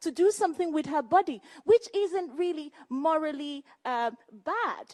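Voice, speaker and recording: A woman with a Nigerian accent speaks at an extremely high pitch with lively intonation, in a dry, close sound with no echo. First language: Igbo. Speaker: debate panelist. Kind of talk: public debate remarks.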